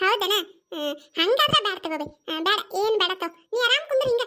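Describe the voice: A woman puts on a squeaky cartoonish character voice at an extremely high pitch, raised and projected, talking at a fairly quick pace with lively intonation.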